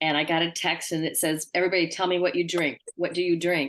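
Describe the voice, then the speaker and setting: A woman speaks with fairly even intonation. She has a plain, everyday voice. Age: 60s. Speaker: recovering alcoholic in AA. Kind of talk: sharing in a recovery meeting.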